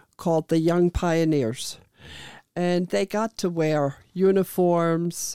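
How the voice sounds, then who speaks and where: A woman with a German accent speaks very slowly in a dark, mellow tone at fairly low pitch with ordinary pitch variation. The sound is dry and close with no echo, on a very clean recording with a silent background. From Germany. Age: 70s. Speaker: immigrant telling her life story. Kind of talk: interview, life story. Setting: video recording.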